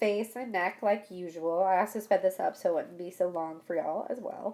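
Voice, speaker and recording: A woman talks in an ordinary speaking voice at a moderate pace. Her pitch varies in an ordinary way. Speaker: beauty vlogger. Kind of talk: makeup tutorial voiceover.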